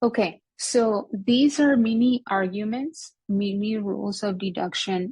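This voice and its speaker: Against a quiet background, a woman sounds somewhat breathy at a medium pitch with ordinary pitch variation. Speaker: logic teacher. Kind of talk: lecture.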